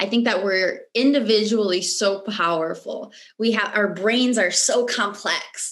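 Speaking with a General American accent at a fairly slow pace, a woman uses a fairly high pitch, very even loudness and fairly even intonation over noticeable background noise. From US, Michigan. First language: Romanian. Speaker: mindset coach. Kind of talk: interview conversation.

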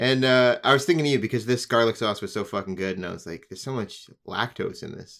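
Very fast speech with lively intonation and big swings in loudness comes through a very clean recording with a silent background. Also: man, medium pitch for a man. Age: 30s. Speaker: guest co-host. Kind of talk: casual chat.

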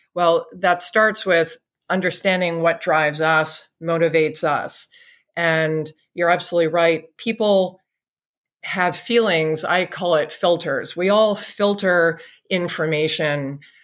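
A woman with an American accent and a normal speaking voice, fairly low pitch, fairly even intonation and very even loudness, on a very clean recording with a silent background. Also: fairly slow pace. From England and the US. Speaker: clean energy company CEO. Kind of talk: interview.

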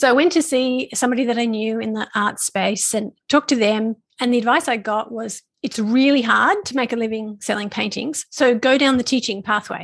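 Speaking at a fairly quick pace, a woman with a fairly high pitch uses ordinary pitch variation in a plain, everyday voice. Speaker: business coach for artists. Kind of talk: interview.

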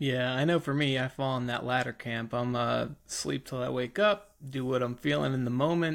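The man, using a plain, everyday voice, keeps a medium pitch and moderate pace, his pitch varying in an ordinary way. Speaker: podcast co-host. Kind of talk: casual chat. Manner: joking, teasing.

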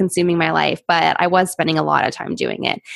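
A woman with an American accent speaks at a medium pitch. She has a plain, everyday voice. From Pittsburgh, US. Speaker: social media consultant. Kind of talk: interview.

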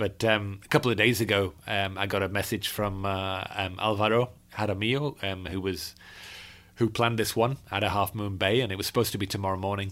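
A man with a Yorkshire accent, fairly low-pitched and fairly quick, with fairly even intonation, on a very clean recording with a silent background. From Yorkshire, northern England. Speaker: birding podcast host. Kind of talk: casual chat. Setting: travelling in California.

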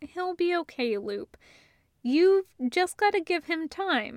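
In a very clean recording with a silent background, a woman does a put-on character voice, slow and extremely high-pitched, with big pitch swings. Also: dry, close sound with no echo.

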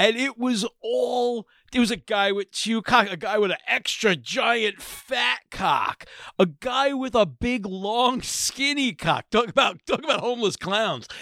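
In a very clean recording with a silent background, the sound is dry and close with no echo. A man speaks at a fairly slow pace in an extremely high pitch, his voice raised and projected with a bright, sharp tone. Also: ordinary pitch variation. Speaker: podcast host. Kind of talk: casual comedic banter.

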